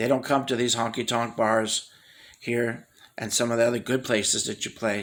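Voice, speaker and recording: Here is a man with a plain, everyday voice. His pitch is medium and his pace moderate. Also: very clean recording, silent background. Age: 60s. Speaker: amateur musician. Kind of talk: personal video message. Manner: earnest.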